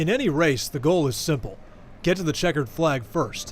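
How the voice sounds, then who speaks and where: Against noticeable background noise, a man with a fairly high pitch talks at a fairly quick pace, his pitch swinging very widely. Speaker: sports anchor / reporter. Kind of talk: sports news reporter package.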